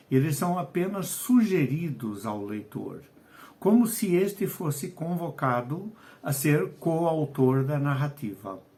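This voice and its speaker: At a very slow pace, a man speaks with a dark, mellow tone, somewhat breathy, at a fairly high pitch with very wide pitch swings. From Portugal, Lisbon. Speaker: writer and educator. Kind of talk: video lesson. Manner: hesitant, with fillers.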